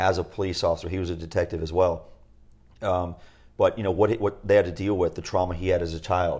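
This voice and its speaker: A man with a very deep, low voice and a somewhat breathy quality speaks at a very fast pace in a monotone, flat way, on a very clean recording with a silent background. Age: 40s. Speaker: podcast co-host, retreat facilitator. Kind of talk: casual chat.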